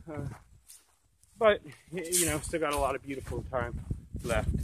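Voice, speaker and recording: The man's voice sounds dry with no echo, set against loud background noise. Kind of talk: casual vlog chat. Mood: relaxed, easygoing. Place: forest. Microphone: phone near.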